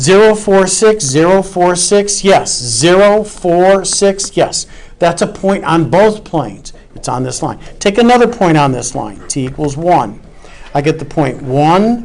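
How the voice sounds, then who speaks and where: Noticeable background noise beneath a fairly slow delivery. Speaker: math professor. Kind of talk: lecture. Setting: classroom.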